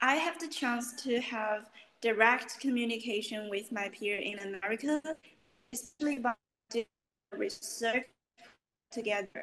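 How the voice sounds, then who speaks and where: A woman's high, bright, sharp voice with a Chinese accent, ordinary pitch variation, and long, frequent pauses. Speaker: university student. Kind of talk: interview.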